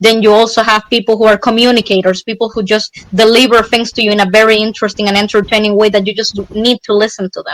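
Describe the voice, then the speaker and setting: In a dry, close recording with no echo, a woman with a fairly high pitch talks at a very fast pace in a monotone, flat delivery. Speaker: street interviewee. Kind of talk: casual chat.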